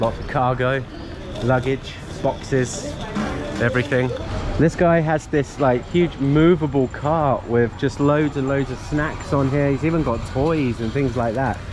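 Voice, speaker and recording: Clear music plays in the background as a man speaks at a fairly slow pace with fairly even intonation, the sound dry with no echo. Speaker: travel vlogger. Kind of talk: casual vlog chat. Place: station. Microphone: phone near.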